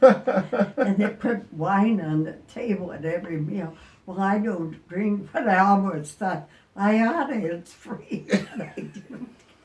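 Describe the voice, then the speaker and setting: A very slow pace against noticeable background noise. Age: 80s+. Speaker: retired RVer. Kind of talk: interview answer.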